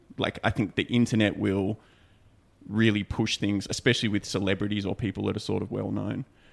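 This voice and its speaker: Marked by vocal fry, a man's fairly low voice runs in a monotone, flat intonation. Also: fairly quick pace. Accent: Australian. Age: 30s. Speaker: podcast co-host. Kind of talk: casual chat. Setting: studio.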